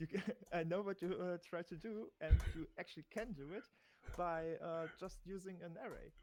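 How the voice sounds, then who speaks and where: With a non-native accent, a man speaks at a high pitch with fairly even intonation. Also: moderate pace. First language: not English. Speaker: experienced programmer helping. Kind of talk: casual coding help. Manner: halting, many fillers.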